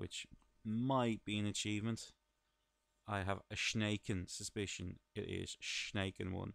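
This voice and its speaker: In an Irish accent, a man speaks fairly slowly at a fairly low pitch, his intonation flat and monotone. The recording is very clean and silent behind him, with a dry, close sound and no echo. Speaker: gaming video commentator. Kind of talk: let's play commentary. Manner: casual, chatty.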